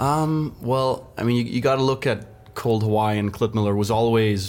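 A man speaks with a Danish accent at a fairly low pitch. His intonation is fairly even. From Denmark, west coast. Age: 20s. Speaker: professional stand-up paddler. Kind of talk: podcast interview.

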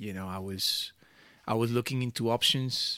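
Someone talks at a fairly quick pace with a Spanish accent and fairly even intonation. The recording is very clean, with a silent background. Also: man. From Venezuela. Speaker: music producer and DJ. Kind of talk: interview chat.

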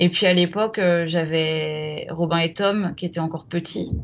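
A woman speaks fairly slowly in a fairly low voice. Her intonation is monotone and flat. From France, Champagne (Troyes). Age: 40s. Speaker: deep-sea diver. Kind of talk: interview storytelling. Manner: halting, many hesitations.

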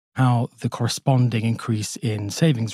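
Somewhat breathy delivery with fairly even intonation. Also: man. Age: 30s. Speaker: doctor. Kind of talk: listener testimony. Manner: halting.

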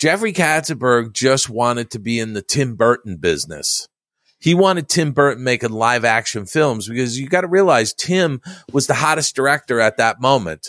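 A man speaks at a moderate pace and medium pitch with lively intonation. The recording is very clean with a silent background, and the sound is dry and close with no echo. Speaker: Disney historian and author. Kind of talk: casual interview chat. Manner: halting, repeats words.

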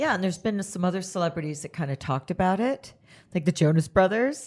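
Her pitch swinging very widely around a medium level, a woman speaks at a fairly quick pace in a somewhat breathy voice. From Canada. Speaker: podcast host. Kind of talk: interview. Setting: studio.

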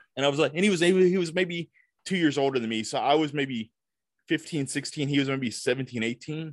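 A plain, everyday voice from a man, fairly high-pitched, with ordinary pitch variation and a fairly quick pace. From US South, Tupelo, Mississippi. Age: 40s. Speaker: film critic. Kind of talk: casual chat. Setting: video call.

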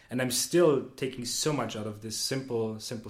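A somewhat breathy man's voice at medium pitch, with audible room echo. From Austria, Vienna. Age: 20s. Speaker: management consultant. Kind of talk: casual interview. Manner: hesitant, many fillers.

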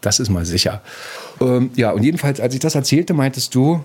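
Using lively intonation, a man with an unremarkable speaking voice talks at a fairly quick pace. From East Berlin. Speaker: podcast producer. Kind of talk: interview storytelling.

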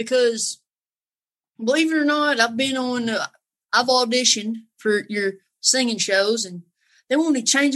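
Speaking in a Southern accent, a woman with a fairly high pitch keeps a moderate pace and ordinary pitch variation. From North Carolina. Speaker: singer and horse trainer. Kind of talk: casual chat.

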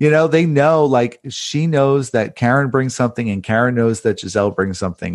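A man has a normal speaking voice at a moderate pace. His intonation is lively. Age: 30s. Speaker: journalist and author. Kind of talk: casual chat.

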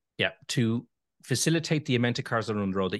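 A man in a Dublin accent, dry and close with no echo, over a quiet background. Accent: Dublin Irish. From Ireland, Dublin. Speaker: EV owners association chairman. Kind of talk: interview. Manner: fast.

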